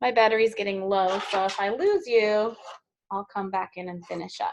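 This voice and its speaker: A woman speaks at a moderate pace with medium pitch, fairly even intonation and a plain, everyday voice. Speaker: teacher. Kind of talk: tutorial.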